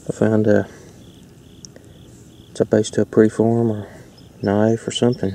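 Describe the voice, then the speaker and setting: Fairly low in pitch, a man speaks at a moderate pace. The sound is dry with no echo, with light background noise. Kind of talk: casual vlog chat. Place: waterside. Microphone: phone near.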